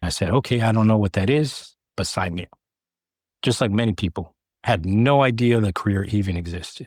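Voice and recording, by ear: A man with an American accent has a slightly mellow tone and ordinary pitch variation at a moderate pace. The sound is dry and close, with no echo. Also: fairly low pitch for a man.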